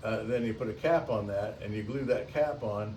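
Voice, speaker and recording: Medium-pitched male voice with audible room echo. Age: 70s. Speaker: wooden boat restorer. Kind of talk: recorded video update to a client. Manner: halting, many fillers and repeats.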